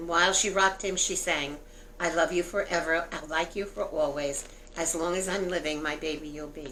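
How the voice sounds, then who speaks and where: A woman with an American accent talks at a moderate pace in a fairly low voice with fairly even intonation. The room echo is audible, and there is noticeable background noise. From New York City (Brooklyn). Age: 70s. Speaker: grandmother. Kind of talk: interview; reading aloud.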